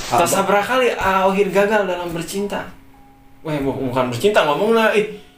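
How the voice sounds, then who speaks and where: A man with a high pitch speaks at a fairly quick pace with lively intonation, while music plays in the background and room echo is audible. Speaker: podcast host. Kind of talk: casual comedic interview.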